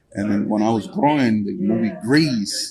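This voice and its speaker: Over noticeable background noise, a man with a Spanish accent speaks at medium pitch and a fairly slow pace. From Guatemala. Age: 50s. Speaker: truck owner-operator. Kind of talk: interview. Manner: halting.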